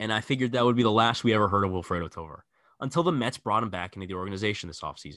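Over a quiet background, a man with fairly low pitch and a bright, sharp tone talks at a very fast pace, with lively intonation and big swings in loudness. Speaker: sports podcast host. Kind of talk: casual chat.

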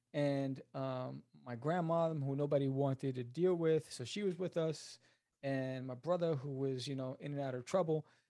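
On a very clean recording with a silent background, a man with a New York accent speaks at a fairly high pitch and moderate pace, his dark, mellow tone held in fairly even intonation. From New York City (Queens). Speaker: writer and comic book creator. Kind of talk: interview.

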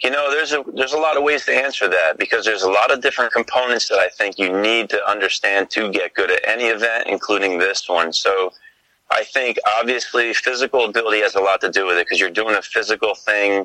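In an American accent, a man talks at a very fast pace with very even loudness in a dry, close sound with no echo. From New Jersey. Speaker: arborist and competitive tree climber. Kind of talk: interview.

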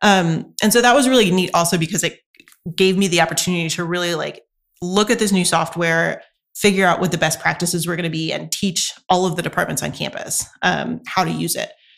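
In an American accent, a woman talks at a fairly quick pace, her fairly low voice showing vocal fry and ordinary pitch variation. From US South, North Carolina. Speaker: university lecturer and student affairs staff. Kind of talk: interview. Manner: professional.

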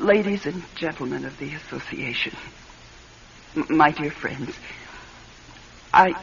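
Over faint background noise, a woman does a put-on character voice at a low pitch and a fairly slow pace, with vocal fry, a fairly bright tone and ordinary pitch variation.

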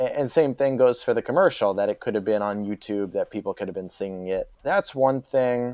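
Speaking at a fairly quick pace with hardly any pauses, a man uses lively intonation in a medium-pitched voice with a dark, mellow tone, recorded in a dry, close sound with no echo. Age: 20s. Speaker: podcast guest, TV fan. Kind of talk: casual chat.

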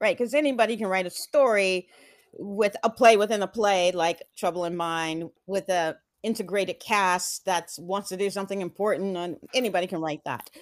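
An American-accented woman with a normal speaking voice, medium pitch, ordinary pitch variation and a moderate pace, in a dry, close sound with no echo. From Texas (Houston), earlier Atlanta. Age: 50s. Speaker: theater director. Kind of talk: interview.

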